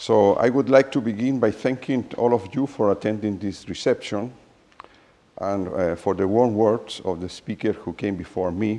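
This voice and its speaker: In a Spanish accent, a man speaks at a fairly slow pace with a fairly low pitch and ordinary pitch variation. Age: 60s. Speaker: mathematician. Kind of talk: reading a prepared speech.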